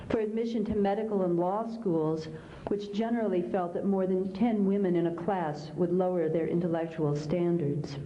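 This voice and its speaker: Over noticeable background noise and audible room echo, a woman with an American accent speaks at medium pitch and a moderate pace, with ordinary pitch variation and very even loudness. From US Midwest, Kansas. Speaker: author. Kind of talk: keynote speech.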